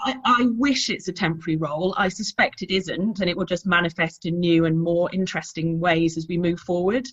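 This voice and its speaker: With a British accent, a woman talks at a fairly low pitch with ordinary pitch variation and hardly any pauses. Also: fairly quick pace. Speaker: sales enablement leader. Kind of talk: panel discussion.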